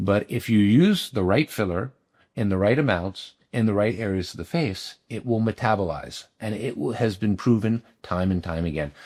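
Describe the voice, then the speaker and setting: On a very clean recording with a silent background, a man with a plain, everyday voice talks at a fairly low pitch and a moderate pace with ordinary pitch variation. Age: 50s. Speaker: cosmetic dermatologist. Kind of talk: interview.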